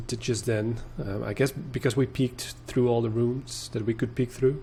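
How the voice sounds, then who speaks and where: A man speaks with vocal fry and fairly even intonation, hardly pausing at all. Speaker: video game let's player. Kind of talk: gameplay commentary. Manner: slow; halting.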